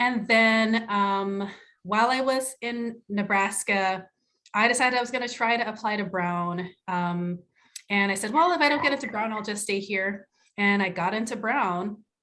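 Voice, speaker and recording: A woman with an American accent speaks at a moderate pace in a fairly high pitch, with a bright, sharp tone and ordinary pitch variation. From Jamaica. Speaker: psychiatrist. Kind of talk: self-introduction in panel discussion. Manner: halting, many fillers.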